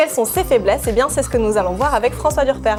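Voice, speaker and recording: Music is audible behind the speaker. She is a woman talking very fast. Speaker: TV presenter and journalist. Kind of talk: TV news explainer hosting.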